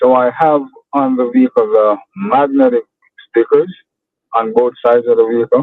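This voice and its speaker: A strong Jamaican accent with ordinary pitch variation at a moderate pace. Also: man. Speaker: landscaper, small business owner. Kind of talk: coaching call.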